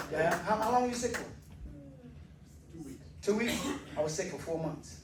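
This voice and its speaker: In an American accent, a man speaks at a fairly quick pace. There is audible room echo along with noticeable background noise. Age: 60s. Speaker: stand-up comedian. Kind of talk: stand-up. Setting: stage with audience. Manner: animated.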